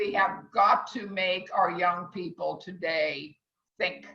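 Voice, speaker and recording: A woman speaks at a very slow pace with a fairly low pitch and ordinary pitch variation. Her tone is bright and sharp, with vocal fry. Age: 70s. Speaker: culinary instructor. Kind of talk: online class discussion. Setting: video call.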